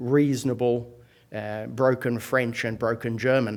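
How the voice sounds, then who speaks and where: In a very clean recording with a silent background, a man with an Australian accent talks at a moderate pace and medium pitch. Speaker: professor. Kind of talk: lecture. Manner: hesitant, many fillers.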